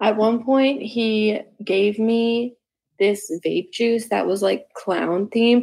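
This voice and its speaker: The voice has a dark, mellow tone, fairly even intonation and very even loudness, moving at a very slow pace. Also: woman, fairly high pitch for a woman. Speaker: caller sharing a secret. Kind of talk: testimony.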